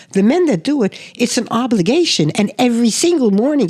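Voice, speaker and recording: Speaking fairly quickly with vocal fry, a woman with an American accent has a fairly high pitch. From US Midwest / Pennsylvania. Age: 80s+. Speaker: seminary teacher. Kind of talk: casual chat.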